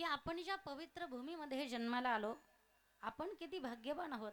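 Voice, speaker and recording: Her voice is high-pitched, and this woman speaks with lively intonation. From Nashik, Maharashtra. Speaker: kirtan performer. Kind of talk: devotional sermon to a live audience. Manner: emotional, rhetorical.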